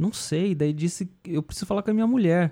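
Recorded very cleanly against a silent background, with a dry, close sound and no echo, a man speaks at a moderate pace in a high pitch, with a dark, mellow tone and ordinary pitch variation. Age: 40s. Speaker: rock bassist. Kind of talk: casual interview. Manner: halting, many repetitions.

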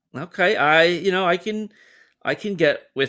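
A man is speaking. His voice has a bright, sharp tone. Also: very clean recording, silent background. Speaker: podcast host. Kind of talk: casual sports chat.

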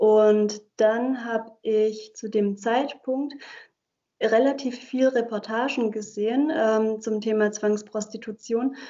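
A woman talks at a very slow pace in a fairly high pitch. Her intonation stays fairly even. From Germany, Heilbronn (Baden-Württemberg). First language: Hungarian (speaking German). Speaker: legal scholar and civil servant. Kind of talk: interview. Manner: hesitant, many filler words.

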